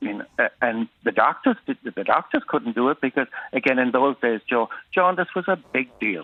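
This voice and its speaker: A man with a Cork accent talks at a moderate pace. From Ireland, Cork north side. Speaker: caller. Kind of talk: testimony.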